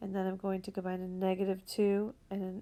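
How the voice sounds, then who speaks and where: In a dark, mellow tone, a woman speaks at a fairly slow pace. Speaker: math teacher. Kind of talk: tutorial.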